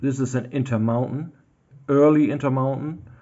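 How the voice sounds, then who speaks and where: The speaker has a German accent. The intonation stays fairly even. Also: man. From Germany. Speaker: model railroad hobbyist. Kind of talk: tutorial. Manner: halting, many fillers.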